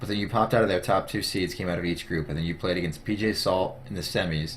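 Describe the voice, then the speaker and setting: A man's very deep, low voice, somewhat breathy, with ordinary pitch variation and a very fast pace. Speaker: gaming interviewer. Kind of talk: casual interview.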